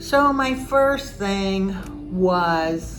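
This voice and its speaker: A woman's fairly low voice with lively intonation, over noticeable background noise. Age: 70s. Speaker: home decorator and real estate agent. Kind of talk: casual talk to camera.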